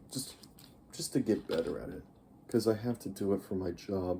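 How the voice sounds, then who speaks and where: A man with a fairly low, dark, mellow voice speaks somewhat breathily at a moderate pace with lively intonation. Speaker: youtuber. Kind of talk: casual vlog monologue. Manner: slurred, uneven pace; rambling, hesitant.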